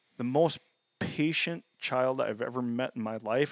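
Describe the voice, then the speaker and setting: In an American accent, an unremarkable speaking voice talks at a moderate pace, recorded very cleanly against a silent background with a dry, close sound and no echo. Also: man. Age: 40s. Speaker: habitat consultant and hunter. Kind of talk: casual chat.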